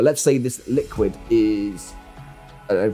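Over faint music in the background, a man talks at a fairly slow pace. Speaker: video creator. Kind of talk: casual vlog chat. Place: home room. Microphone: studio mic.

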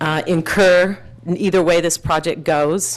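There is noticeable background noise. A woman with an American accent speaks at a fairly low pitch. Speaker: activist, public commenter. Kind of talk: public comment at council meeting. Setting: city council chamber. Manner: loud.

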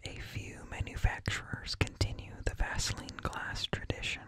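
Soft-spoken and whispering, a man talks at a very slow pace in a dry sound with no echo. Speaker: streamer or content creator. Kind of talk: reading an informative article aloud. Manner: soft close-mic whisper, reading text. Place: home room. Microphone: studio mic.

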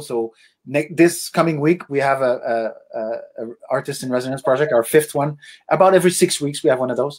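Someone speaks at a fairly quick pace with a Quebec French accent and fairly even intonation. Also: man. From Quebec, Laurentian Mountains. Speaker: musician and arts foundation founder. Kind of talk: interview.

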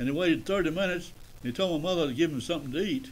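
The man speaks with a Southern US accent. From Tennessee. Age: 90s. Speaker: retired radio broadcaster. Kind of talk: interview storytelling. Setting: studio. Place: studio.

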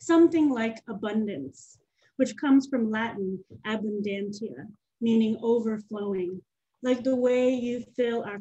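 Her dark, mellow tone is somewhat breathy and fairly high in pitch, with ordinary pitch variation. The woman speaks at a fairly slow pace against a quiet background. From Nashville, Tennessee; Tennessee. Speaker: poet and farmer; poet. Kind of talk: poetry reading. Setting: video call. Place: home room. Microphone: webcam.

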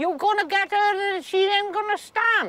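At a moderate pace, a woman projects a raised voice with an extremely high pitch, a bright, sharp tone and ordinary pitch variation, in a dry sound with no echo. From south Wales. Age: 80s+. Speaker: farmer. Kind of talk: casual chat. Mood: blunt, gently scolding. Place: farm machine.

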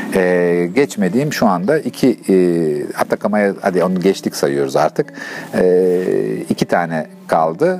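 Speaking at a fairly slow pace, a man with a very deep, low pitch uses lively intonation over light background noise. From Turkey. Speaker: long-distance touring cyclist. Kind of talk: interview answer. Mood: relaxed, animated.

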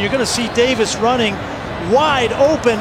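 The speaker is a man. He keeps a moderate pace while noticeable background noise is heard. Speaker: color analyst. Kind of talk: live sports commentary. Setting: broadcast booth. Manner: analytical, measured.

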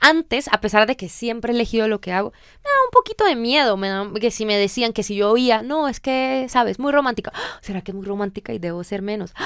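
A woman speaks at a fairly quick pace with ordinary pitch variation and big swings in loudness. The sound is dry with no echo, over a quiet background. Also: fairly high pitch for a woman. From Colombia. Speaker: singer-songwriter; guest. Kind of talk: radio interview. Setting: radio studio. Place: studio. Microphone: studio mic.

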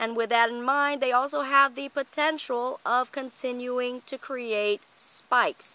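A woman talks at a very slow pace in a high pitch, her tone bright and sharp. Her pitch varies in an ordinary way, and the sound is dry with no echo. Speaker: orchid grower and video host; video host. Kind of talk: tutorial. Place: garden. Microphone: phone near.

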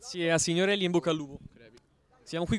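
In a dry sound with no echo, a man speaks in an animated, excited tone at a high pitch. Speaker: sports commentator and interviewer. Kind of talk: live futsal match commentary, then post-match interviews. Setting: futsal club venue, at the match. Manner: fast, breathless, rapid-fire play-by-play; animated, excited on goals. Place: stadium. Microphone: handheld.

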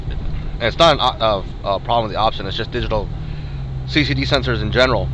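A man talks at a very fast pace with very wide pitch swings. Noticeable background noise runs underneath. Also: dry sound with no echo. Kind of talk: commentary. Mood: mildly critical, explanatory. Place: car. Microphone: camera far.

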